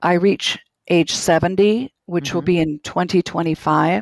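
A woman with a Minnesotan accent speaks very slowly at a medium pitch, with ordinary pitch variation. The sound is dry and close, with no echo. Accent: Minnesota. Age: 60s. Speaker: caller near retirement. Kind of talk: call-in conversation.

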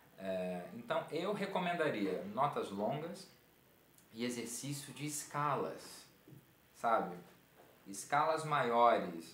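The speech moves at a very slow pace, broken by long, frequent pauses. There is audible room echo and light background noise. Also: man. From Rio de Janeiro, Brazil (Santa Cruz); Rio de Janeiro. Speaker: clarinet teacher, military band musician; clarinet teacher. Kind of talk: online music workshop lecture. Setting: live online stream.

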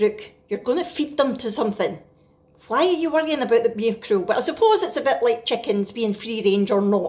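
A woman with a Scottish accent, lively in intonation and at a fairly quick pace. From Scotland. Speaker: family vlogger. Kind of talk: casual vlog talk to camera. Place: kitchen.

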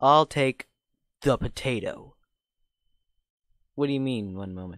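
A gruff, put-on character voice moves at a fairly slow pace with very wide pitch swings. The recording is very clean with a silent background. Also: man. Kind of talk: hard-boiled cop parody. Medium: cartoon. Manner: gruff, impatient.

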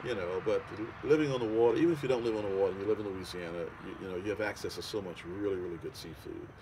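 With a New Orleans accent, a man talks at a very fast pace in a fairly low, somewhat breathy voice with a dark, mellow tone, ordinary pitch variation and big swings in loudness, over noticeable background noise. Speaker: home cook. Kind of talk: interview answer. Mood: relaxed, enthusiastic. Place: waterside.

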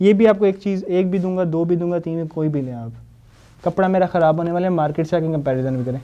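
A man talks fast with a fairly high pitch and ordinary pitch variation. His tone is dark and mellow.

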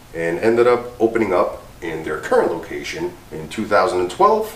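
A low-pitched man speaks at a moderate pace with very wide pitch swings, and room echo can be heard.

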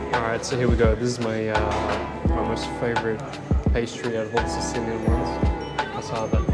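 Loud music plays in the background. A man speaks at a fairly quick pace with ordinary pitch variation. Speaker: food vlogger. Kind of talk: casual vlog chat. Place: cafe. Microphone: phone near.

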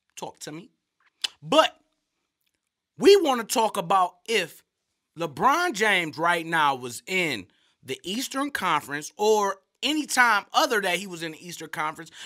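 In a raised, projected voice pitched high, a man speaks with an animated tone, very wide pitch swings and big swings in loudness. His pace is fairly slow with long, frequent pauses, and the background is quiet. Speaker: sports commentator. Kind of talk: sports commentary rant, profane, comedic. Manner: loud, animated, ranting. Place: studio. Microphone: studio mic.

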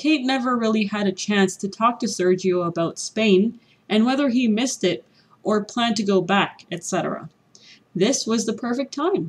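A woman with a Canadian accent speaks at a fairly high pitch and moderate pace. Her voice is somewhat breathy, with ordinary pitch variation. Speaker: ESL teacher. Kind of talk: read story for language learners.

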